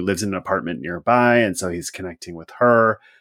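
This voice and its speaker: At medium pitch, a man with an ordinary speaking voice and ordinary pitch variation is heard in a very clean recording against a silent background. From US Pacific Northwest. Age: 40s. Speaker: podcast host. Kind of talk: casual chat. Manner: casual, laughs often.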